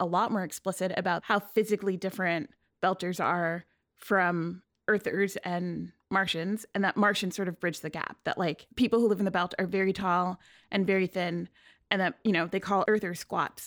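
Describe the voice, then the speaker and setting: With an ordinary speaking voice, a woman talks at a fairly quick pace and medium pitch, her intonation fairly even. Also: very clean recording, silent background. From New York City (Queens). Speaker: climate reporter. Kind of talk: casual interview chat.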